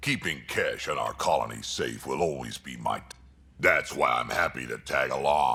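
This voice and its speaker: A put-on character voice from a man, very deep and low in pitch, at a moderate pace. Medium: video game. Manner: gruff, blunt.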